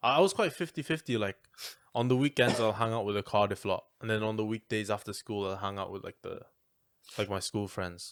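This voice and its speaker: A man speaks in a strong Welsh accent at a fairly quick pace with ordinary pitch variation. The recording is very clean, the background silent. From Wales. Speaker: podcast co-host. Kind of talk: casual chat.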